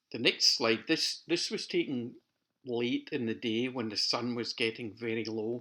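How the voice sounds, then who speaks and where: A man with a Scottish accent speaks at a fairly slow pace. His medium-pitched voice has a bright, sharp tone and ordinary pitch variation. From Scotland, near Glasgow. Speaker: amateur photographer. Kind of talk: narrated photo slideshow. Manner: casual.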